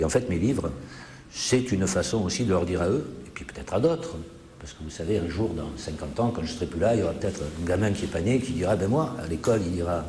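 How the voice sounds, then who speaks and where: A man talks at a very fast pace in a very deep, low pitch. The room echo is audible, and there is noticeable background noise. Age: 60s. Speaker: author. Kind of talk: interview.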